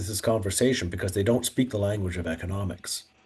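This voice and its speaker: A plain, everyday voice from a man, fairly low in pitch with ordinary pitch variation. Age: 60s. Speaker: author and economics commentator. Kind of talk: podcast interview. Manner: conversational, with fillers and restarts.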